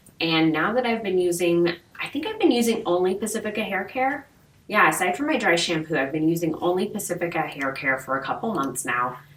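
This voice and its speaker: Over noticeable background noise, a woman with a fairly low pitch talks at a fairly quick pace, her pitch swinging very widely. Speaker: beauty vlogger. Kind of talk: product review vlog. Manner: casual, chatty. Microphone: mic was off, poor audio quality.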